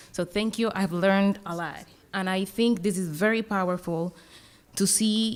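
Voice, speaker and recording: A woman with a Colombian accent speaks with fairly even intonation on a very clean recording with a silent background. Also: medium pitch for a woman, moderate pace. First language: Spanish. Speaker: academic panel discussant. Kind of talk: conference panel commentary. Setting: conference panel with audience. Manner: halting, with fillers and restarts.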